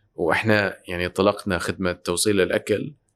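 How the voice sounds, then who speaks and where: A man with an Iraqi accent speaks at a moderate pace in a fairly low, monotone voice with flat intonation, on a very clean recording with a silent background. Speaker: tech entrepreneur and investor. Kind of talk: interview conversation.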